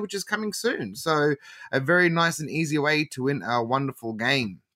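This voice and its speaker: Moderate pace, bright and sharp tone, lively intonation and an Australian accent, in a dry, close recording with no echo and a very clean, silent background. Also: man. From Melbourne, Australia. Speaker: podcast host. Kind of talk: casual chat.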